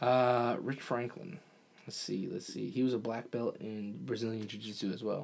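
Using a plain, everyday voice, a man with a medium pitch talks at a moderate pace with ordinary pitch variation. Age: 20s. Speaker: podcast co-host. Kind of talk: casual sports banter. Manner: casual, joking.

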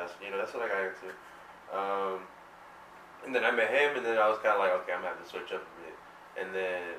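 Talking at a very fast pace in an American accent, a man with a very deep, low pitch keeps fairly even intonation, with audible room echo and noticeable background noise. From suburban New Jersey. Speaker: music producer. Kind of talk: casual chat. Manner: halting.

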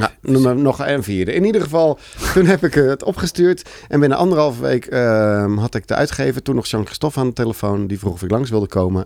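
A plain, everyday voice moves at a fairly quick pace with hardly any pauses. The intonation is lively. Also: man, medium pitch for a man. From South Holland, Netherlands (Alphen aan de Rijn area). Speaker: children's book author. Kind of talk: casual chat.

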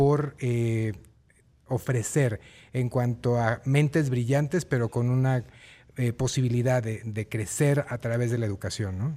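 Over a silent background in a very clean recording, a man speaks at a fairly slow pace with a dark, mellow tone and fairly even intonation. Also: medium pitch for a man. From Guerrero, Mexico. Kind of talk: interview.

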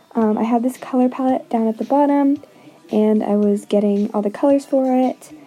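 Over noticeable background noise, a woman with a fairly high pitch talks at a moderate pace with fairly even intonation. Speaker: art video creator. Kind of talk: voiceover commentary. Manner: hesitant, many fillers.

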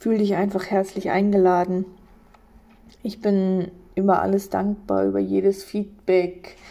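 Monotone, flat intonation and a dark, mellow tone define this woman's medium-pitched voice. She moves at a fairly slow pace with long, frequent pauses. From eastern Germany, Polish border. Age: 30s. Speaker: podcaster. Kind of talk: personal monologue. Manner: hesitant.

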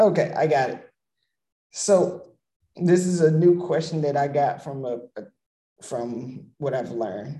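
A man with a fairly high pitch talks fairly slowly, leaving long, frequent pauses. His tone is dark, mellow and somewhat breathy, with ordinary pitch variation. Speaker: podcast host. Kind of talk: casual interview. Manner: energetic, upbeat.

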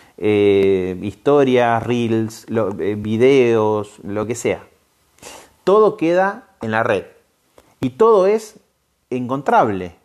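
This man's intonation is lively. His voice sits at a medium pitch. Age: 40s. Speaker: podcast and radio host. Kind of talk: casual explanatory talk. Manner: hesitant, frequent fillers.

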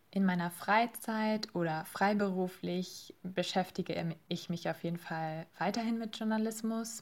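A woman with a plain, everyday voice speaks at a medium pitch and a fairly slow pace. Her intonation is fairly even, and the recording is very clean with a silent background. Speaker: master's student, podcast team member. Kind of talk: interview.

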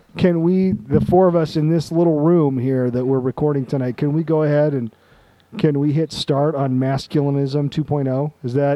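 An unremarkable speaking voice from a man with an American accent, fairly high in pitch, at a moderate pace with fairly even intonation. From Utah. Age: 40s. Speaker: podcast host. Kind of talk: casual chat.

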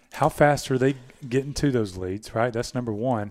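In a Southern US accent, a man speaks at a moderate pace and a medium pitch. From US South, Georgia. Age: 50s. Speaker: podcast host, marketing agency owner. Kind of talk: casual chat.

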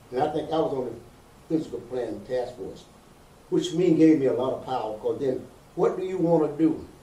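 The speech comes at a fairly quick pace in an American accent. Audible room echo surrounds it. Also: man. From US South, Georgia. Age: old. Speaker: community activist and publisher. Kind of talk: interview.

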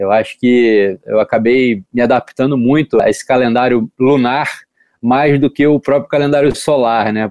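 The recording has a dry, close sound with no echo. A man speaks at a moderate pace with ordinary pitch variation. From Brazil, Rio de Janeiro. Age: 30s. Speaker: professional surfer. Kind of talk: interview.

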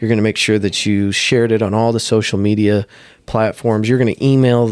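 Speaking at a moderate pace, the man has a medium pitch and a monotone, flat intonation. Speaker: podcaster. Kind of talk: casual chat.

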